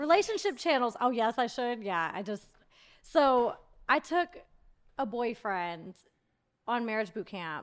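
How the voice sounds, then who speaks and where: Recorded very cleanly against a silent background, a woman with a plain, everyday voice speaks at a moderate pace with lively intonation. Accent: American. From US South, Georgia. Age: 30s. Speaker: reality TV personality and YouTuber. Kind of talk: casual chat. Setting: studio.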